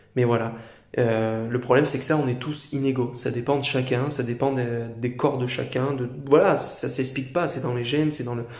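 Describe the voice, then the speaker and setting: Somewhat breathy and flat in intonation, a man at medium pitch speaks with audible room echo. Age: 20s. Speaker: YouTuber. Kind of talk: opinion monologue to camera. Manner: halting, many fillers.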